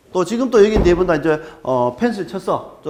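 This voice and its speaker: A high-pitched male voice with very wide pitch swings at a moderate pace, over noticeable background noise. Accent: strong Gyeongsang. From Gyeongsang region, South Korea. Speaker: archaeologist lecturer. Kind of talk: lecture. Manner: hesitant, filler-heavy.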